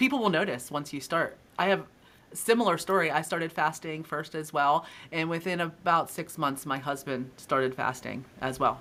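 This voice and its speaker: A woman with a very deep, low pitch speaks at a moderate pace in an upbeat, bright, sharp tone with ordinary pitch variation. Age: 40s. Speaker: podcast host. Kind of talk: interview.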